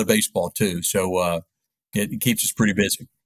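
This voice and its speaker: Recorded very cleanly against a silent background with a dry, close sound and no echo, a man uses a normal speaking voice at a fairly low pitch, a moderate pace and ordinary pitch variation. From US South, East Tennessee (Knoxville). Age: 60s. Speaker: sports radio play-by-play announcer. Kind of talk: interview.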